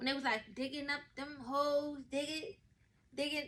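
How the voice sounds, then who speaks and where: Animated and high-pitched, a woman speaks with a bright, sharp tone. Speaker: podcast host. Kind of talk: casual monologue. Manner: fast.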